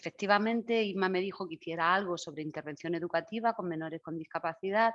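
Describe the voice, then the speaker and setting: Medium-pitched female speech at a fairly quick clip, its pitch varying in an ordinary way. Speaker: educational specialist. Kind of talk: lecture. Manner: animated.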